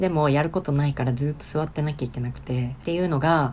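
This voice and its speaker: A woman speaks at a very fast pace with fairly even intonation. Noticeable background noise sits behind her. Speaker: VTuber. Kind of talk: game commentary. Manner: casual, joking.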